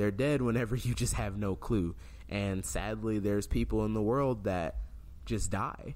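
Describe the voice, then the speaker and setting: A man's fairly low voice at a moderate pace, with ordinary pitch variation, very even loudness and audible room echo. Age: 20s. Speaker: podcast host. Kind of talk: casual chat.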